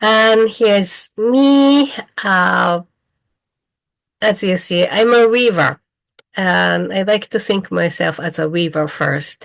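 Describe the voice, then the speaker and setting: A woman with a Japanese accent speaks at a medium pitch with lively intonation. Her pace is very slow, with long, frequent pauses. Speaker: weaver and dyer, craft teacher. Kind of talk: online presentation. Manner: halting.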